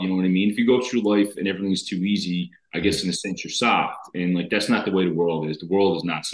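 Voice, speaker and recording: A man speaks with a Newfoundland accent in a fairly low pitch. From Newfoundland, Canada. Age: 30s. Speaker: reality TV contestant. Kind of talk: casual interview. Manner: animated.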